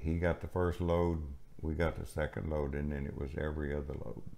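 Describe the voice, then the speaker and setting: A man speaks with a Texan accent. His pitch is very deep and low. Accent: Southern US, Texan. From Gulf Coast of Texas; Texas. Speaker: retired farmer; elderly storyteller. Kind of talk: interview answer. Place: home room.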